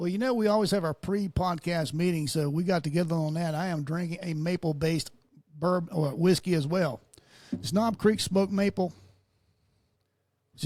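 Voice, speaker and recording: A man with a Southern US accent talks at a moderate pace, his pitch high for a man. Long pauses come often, and his pitch varies in an ordinary way. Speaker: podcast host. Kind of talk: casual chat.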